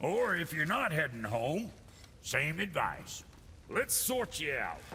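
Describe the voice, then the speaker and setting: Over clear background noise, a man uses a put-on character voice, fairly high in pitch and delivered at a fairly slow pace. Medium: video game. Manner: gruff, blunt.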